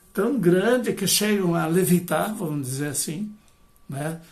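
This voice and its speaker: Amid noticeable background noise and audible room echo, a man with a high pitch and ordinary pitch variation speaks at a fairly slow pace. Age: 70s. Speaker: retired professor and biodanza facilitator. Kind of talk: lecture. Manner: hesitant, many fillers.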